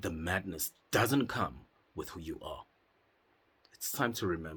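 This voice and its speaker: Lively in intonation and somewhat breathy, a man speaks at a fairly slow pace in a very clean recording with a silent background. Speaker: psychedelic retreat facilitator. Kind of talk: motivational monologue. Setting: in a cave. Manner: impassioned.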